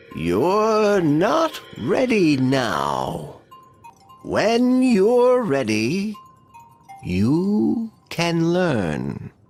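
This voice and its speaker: With faint music in the background, a man does a put-on character voice, high-pitched with very wide pitch swings, at a very slow pace. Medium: read story. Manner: calm, authoritative.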